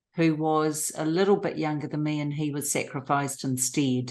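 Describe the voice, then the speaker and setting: A woman speaks in a very deep, low voice with monotone, flat intonation against a quiet background. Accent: New Zealand. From New Zealand. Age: 60s. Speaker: abuse survivor. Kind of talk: testimony interview.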